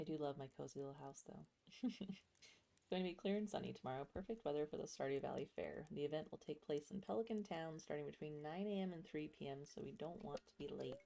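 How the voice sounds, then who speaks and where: A quiet, dark and mellow voice races along at a very fast pace with lively intonation. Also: woman, very deep, low pitch for a woman. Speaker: video game streamer. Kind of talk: casual gameplay livestream commentary. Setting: home livestream. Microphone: ASMR mic, sitting a bit away so sounds quiet.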